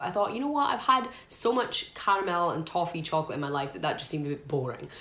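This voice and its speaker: In a room with audible echo, a woman with a Scottish accent speaks at a fairly low pitch. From Scotland. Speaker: food reviewer. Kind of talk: casual talk to camera. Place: home room. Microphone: phone near.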